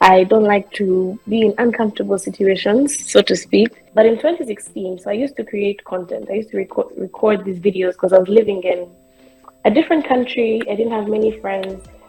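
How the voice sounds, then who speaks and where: This woman is soft-spoken and talks at a fairly quick pace. Noticeable background noise sits behind her. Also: medium pitch for a woman, ordinary pitch variation. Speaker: content creator and comedian. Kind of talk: interview.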